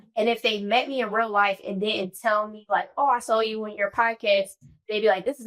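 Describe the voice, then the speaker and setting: This woman's voice sits at a fairly high pitch. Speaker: podcast host. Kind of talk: casual chat. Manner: loud.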